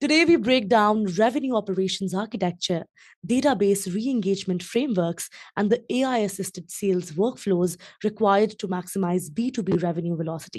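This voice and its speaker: Over a quiet background, a woman with an ordinary speaking voice talks at a fairly quick pace, medium in pitch and with lively intonation. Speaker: podcast host. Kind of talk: podcast interview host.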